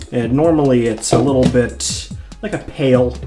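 The speaking pace is moderate. Clear music can be heard behind the voice. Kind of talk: tutorial. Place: bathroom.

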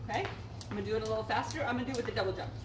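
A woman's voice over noticeable background noise. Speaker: fitness instructor. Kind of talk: tutorial. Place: garden. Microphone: camera far.

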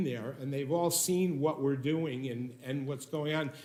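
A man speaks with audible room echo. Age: 60s. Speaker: business owner applicant. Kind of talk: public meeting testimony. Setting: city hall meeting room. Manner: halting, many fillers.

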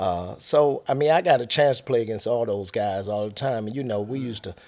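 A man talks fairly quickly, his pitch moving in an ordinary way, with a quiet background behind him. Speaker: podcast guest. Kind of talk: interview answer. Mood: relaxed reminiscing. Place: studio. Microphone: studio mic.

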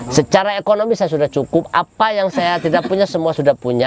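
A man speaks at a fairly quick pace with very wide pitch swings. The recording is dry, with no echo. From Cilegon, Banten, Indonesia; Banten, Indonesia. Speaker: local politician. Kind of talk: interview. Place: open country. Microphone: lapel.

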